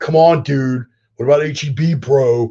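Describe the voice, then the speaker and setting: A man's put-on character voice, fairly high, in a Californian accent, at a moderate pace. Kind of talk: casual slangy.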